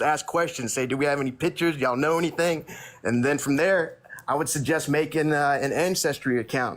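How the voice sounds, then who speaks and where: An American-accented man talks at a fairly quick pace and a fairly high pitch, with very even loudness. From Texas. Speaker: livestream guest. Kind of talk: casual live chat. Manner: animated.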